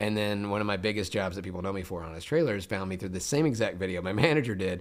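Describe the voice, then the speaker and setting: Talking at a very fast pace, a man with a fairly low pitch is heard with audible room echo. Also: ordinary pitch variation. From US South, Memphis, Tennessee. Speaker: voice actor. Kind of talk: casual chat.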